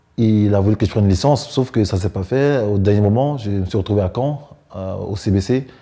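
With a dark, mellow tone, the man talks at a moderate pace. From Cameroon. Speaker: professional basketball player. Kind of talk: interview. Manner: halting. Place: home room.

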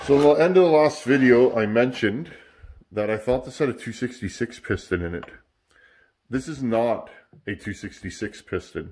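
A man's fairly slow speech with long, frequent pauses and big swings in loudness. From Canada. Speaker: sheet metal worker and chainsaw hobbyist YouTuber. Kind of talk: casual workshop talk to camera. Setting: home workshop. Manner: relaxed, filler-heavy. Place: workshop. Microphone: camera far.

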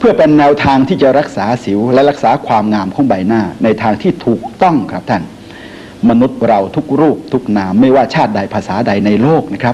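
Lively intonation from a man, with noticeable background noise behind. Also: medium pitch for a man. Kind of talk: product commercial pitch, medicine advertisement narration. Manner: polite, chatty salesman address to audience.

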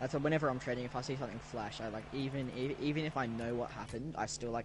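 Speaking at a very fast pace with an Australian accent, a man keeps a medium pitch and ordinary pitch variation. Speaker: gaming content creator. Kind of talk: live gameplay stream chat. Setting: online voice chat during live stream.

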